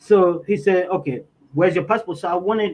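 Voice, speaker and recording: A man speaks with a Tanzanian accent at a fairly quick pace. His pitch is high for a man, with ordinary variation. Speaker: interviewee. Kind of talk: interview testimony. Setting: livestream. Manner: halting, self-correcting.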